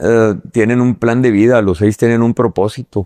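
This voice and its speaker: The voice has a dark, mellow tone and a flat, monotone intonation. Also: man. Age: 60s. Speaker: businessman. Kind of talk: interview conversation. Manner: halting, many fillers.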